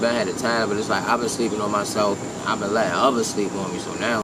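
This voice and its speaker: A man's fairly low voice at a fairly quick pace, with noticeable background noise. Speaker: rapper. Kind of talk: interview. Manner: casual, hesitant.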